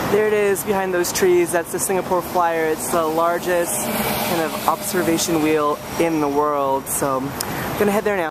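At a fairly slow pace, a man talks with a high pitch and fairly even intonation, the sound dry with no echo amid loud background noise. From Filipino-American. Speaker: travel vlogger. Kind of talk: vlog narration.

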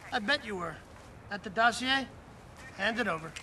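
Against faint background noise, a man puts on a character voice, high-pitched with a bright, sharp tone and lively intonation.

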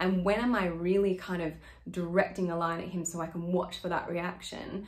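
This woman has a normal speaking voice, pitched fairly low, and talks at a moderate pace. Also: quiet background. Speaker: acting coach. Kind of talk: tutorial explaining a monologue. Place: home room. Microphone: phone near.

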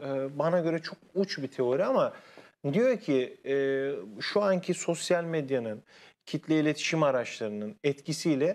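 Using a normal speaking voice, a man talks with lively intonation at a fairly high pitch. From Konya, Central Anatolia, Turkey; Turkey. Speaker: university linguistics lecturer. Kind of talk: TV interview, explanatory. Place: studio. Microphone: lapel.

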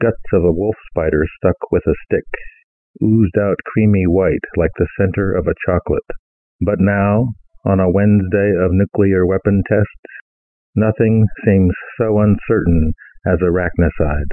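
A man's fairly low voice at a fairly slow pace, with long, frequent pauses and very even loudness. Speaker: poet reading own work. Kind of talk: poetry reading, read aloud from his own poem. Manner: measured, reflective, deliberate reading with a wry, ruminative tone.

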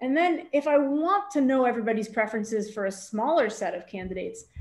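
At a fairly quick pace, the woman's intonation stays lively. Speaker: math professor. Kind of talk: lecture. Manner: fast. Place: home room. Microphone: webcam.

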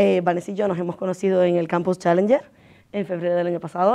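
Over a quiet background, a woman speaks in a fairly low pitch with a dark, mellow tone and fairly even intonation. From Venezuela. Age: 30s. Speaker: psychologist turned tech consultant; conference speaker. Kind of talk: conference talk.

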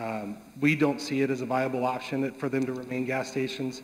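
The man's intonation is monotone and flat. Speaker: land development consultant. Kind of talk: public meeting testimony. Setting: public meeting room. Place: hall. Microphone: podium.

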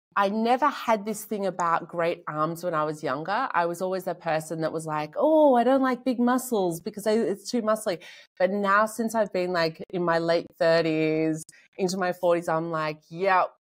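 A woman talks at a moderate pace with lively intonation. The background is quiet. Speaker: podcast host. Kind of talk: interview chat. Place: home room.

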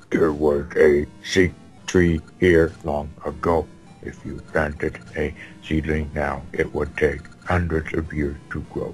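Clear music plays in the background behind a put-on character voice. The delivery comes at a fairly slow pace. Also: man, very deep, low pitch for a man. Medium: game stream. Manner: put-on gruff low voice.

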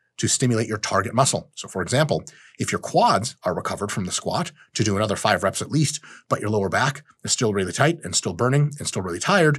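Somewhat breathy, a man rushes along at a very fast pace with lively intonation. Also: quiet background. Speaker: fitness educator. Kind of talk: lecture. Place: studio.

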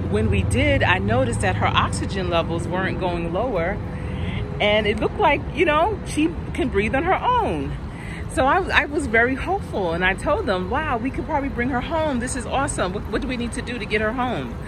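Over noticeable background noise, a woman talks at a fairly quick pace in a dry sound with no echo. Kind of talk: personal storytelling vlog narration. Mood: emotional, reflective, grieving. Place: garden. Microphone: phone near.

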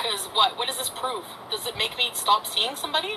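A woman speaks fairly quickly, her pitch swinging very widely, against noticeable background noise. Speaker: livestreamer. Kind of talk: casual vlog chat, ranting. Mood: angry, ranting. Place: car. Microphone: phone near.

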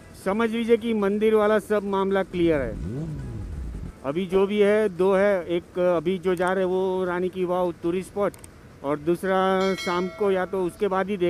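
With music in the background, a man speaks in a high voice with fairly even intonation, the sound dry with no echo. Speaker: solo motorcycle vlogger. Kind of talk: casual vlog chat. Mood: cheerful, relaxed. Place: motorbike. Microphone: helmet.

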